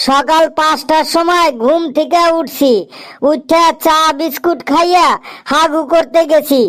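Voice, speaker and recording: In a cartoonish character voice, a woman speaks at an extremely high pitch and fairly slow pace with fairly even intonation and very even loudness. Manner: rambling, repetitive.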